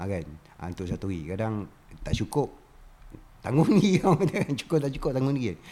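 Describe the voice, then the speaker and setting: At a moderate pace and medium pitch, a man with a dark, mellow tone and vocal fry makes very wide pitch swings, leaving long, frequent pauses. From Malaysia, Raub, Pahang. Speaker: artist and former factory worker. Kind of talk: casual chat.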